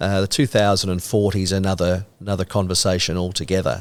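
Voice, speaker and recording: In an Australian accent, a man with a very deep, low pitch speaks at a fairly quick pace on a very clean recording with a silent background. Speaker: horse racing caller. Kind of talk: podcast interview answer. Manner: casual, enthusiastic.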